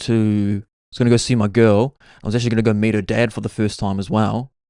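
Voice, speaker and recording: A man with a New Zealand accent speaks at a medium pitch and a very fast pace, with fairly even intonation. The sound is dry and close with no echo, over a quiet background. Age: 30s. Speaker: podcast host. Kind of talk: casual storytelling monologue. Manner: casual, filler-heavy.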